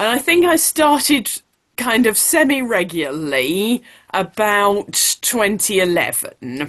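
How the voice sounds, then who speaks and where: In a British accent, a woman speaks at a medium pitch and a very slow pace, with very wide pitch swings. The background is quiet. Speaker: blogger. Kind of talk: panel talk.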